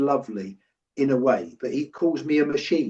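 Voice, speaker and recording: In a normal speaking voice, a man talks at medium pitch and a moderate pace, with ordinary pitch variation. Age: 60s. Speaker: leadership coach. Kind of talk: interview.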